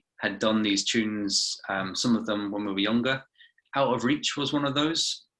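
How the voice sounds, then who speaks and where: Speaking at a fairly quick pace with fairly even intonation and a bright, sharp tone, a man is heard on a very clean recording with a silent background. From England-born, raised in Glasgow, Scotland. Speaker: rock band musician. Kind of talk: interview.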